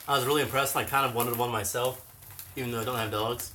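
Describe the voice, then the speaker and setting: A man mumbles at a very fast pace, with noticeable background noise and audible room echo. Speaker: cat channel co-host. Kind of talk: livestream chat. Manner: mumbling.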